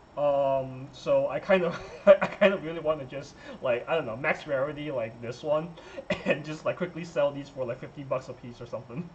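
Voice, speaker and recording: Against noticeable background noise, a man talks with a fairly high pitch. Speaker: trading card game player. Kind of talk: casual talk to camera. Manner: hesitant, stuttering, many filler words.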